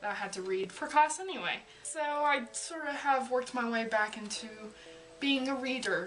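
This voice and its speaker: A woman speaks at a high pitch with lively intonation. Music plays in the background. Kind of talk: casual talk to camera.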